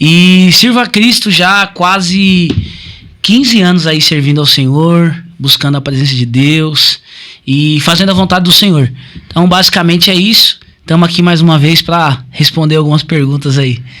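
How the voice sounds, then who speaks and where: A man talks with high pitch at a moderate pace. His loudness stays very even, and his pitch varies in an ordinary way. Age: 20s. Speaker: pastor. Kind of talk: podcast interview.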